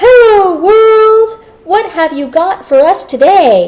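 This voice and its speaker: A woman's loud, squeaky, put-on character voice at an extremely high pitch, with lively intonation, a cheerful tone and a very slow pace. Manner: loud, cheerful.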